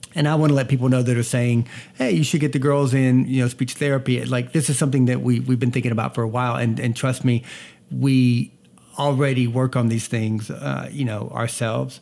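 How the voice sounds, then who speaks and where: A man talks at a fairly quick pace in a dark, mellow tone and a flat, monotone delivery, recorded very cleanly against a silent background. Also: medium pitch for a man. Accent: Southern US. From US South, North Georgia. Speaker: podcast host and family video creator. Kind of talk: casual chat. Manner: fast talker.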